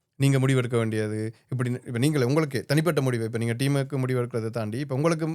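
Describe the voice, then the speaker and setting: Fairly even intonation in a normal speaking voice. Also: man. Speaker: podcast host. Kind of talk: interview questions.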